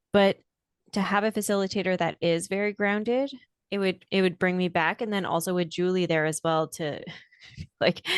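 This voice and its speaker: A woman speaks at a medium pitch and a moderate pace, with fairly even intonation and long, frequent pauses. The sound is dry and close with no echo, over a quiet background. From Quebec, Canada. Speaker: podcast co-host, hypnotist. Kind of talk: casual chat.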